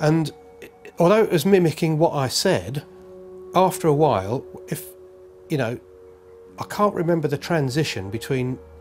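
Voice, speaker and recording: Over music in the background, a man with a London accent and a fairly high pitch speaks at a moderate pace with lively intonation and long, frequent pauses. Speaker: UFO witness. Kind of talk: testimony. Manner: halting.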